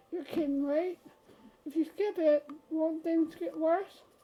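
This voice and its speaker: Using a put-on character voice, a woman talks at a fairly slow pace with an extremely high pitch and monotone, flat intonation. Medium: game stream. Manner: stammering, flustered.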